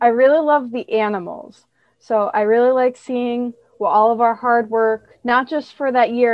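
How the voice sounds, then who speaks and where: A woman with an American accent talks at a moderate pace in a plain, everyday voice. Her intonation stays fairly even. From northern New York. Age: 20s. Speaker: dairy farmer and social media agriculture advocate. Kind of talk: casual interview.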